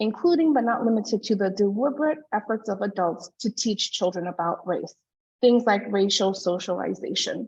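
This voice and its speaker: A woman's somewhat breathy, fairly high voice, with lively intonation at a moderate pace. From Hawaii, Oahu. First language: not English. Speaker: early learning researcher and presenter. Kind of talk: conference presentation.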